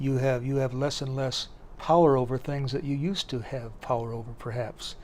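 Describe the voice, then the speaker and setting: A man with an Upper Midwest accent, medium pitch and a dark, mellow tone, moving at a moderate pace with fairly even intonation. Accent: Upper Midwest American. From US Midwest (Sioux City, Iowa). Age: 70s. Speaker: poet. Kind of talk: interview. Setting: book festival. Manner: halting, many fillers and repeats.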